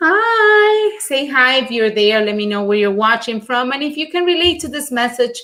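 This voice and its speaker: A woman with a Latin American accent, high-pitched and raised in a projected voice, at a moderate pace with hardly any pauses and very wide pitch swings. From Venezuela. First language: Spanish. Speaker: life coach and show host. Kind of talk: live stream monologue. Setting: live stream.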